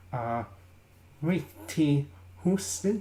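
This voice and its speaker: A man is speaking. His voice is somewhat breathy. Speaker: vlogger. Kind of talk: casual vlog. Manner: halting.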